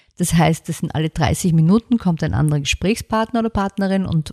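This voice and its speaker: This dark, mellow voice moves at a fairly quick pace in a very clean, silent recording with a dry, close sound and no echo. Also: woman. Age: 50s. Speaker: book publisher. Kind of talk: interview.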